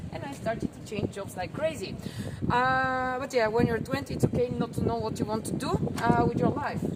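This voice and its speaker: At a fairly quick pace and fairly high pitch, a woman with a Bulgarian accent talks with ordinary pitch variation over noticeable background noise. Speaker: tour guide. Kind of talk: guided tour talk.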